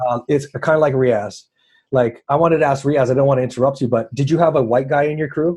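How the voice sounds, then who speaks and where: Somewhat breathy, a man talks at a very fast pace with a fairly high pitch. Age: 40s. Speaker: panelist in discussion. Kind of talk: heated panel discussion. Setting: group call. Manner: animated.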